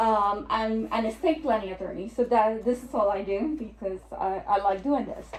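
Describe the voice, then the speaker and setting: Speaking at a fairly slow pace, a woman with a Puerto Rican accent uses a fairly high pitch and ordinary pitch variation. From Puerto Rico. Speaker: estate planning attorney. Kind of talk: presentation. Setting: lunch and learn seminar with audience.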